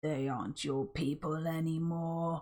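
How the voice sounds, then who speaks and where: A woman's put-on, robotic character voice, very deep and low, at a fairly slow pace. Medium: read story. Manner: cold, menacing.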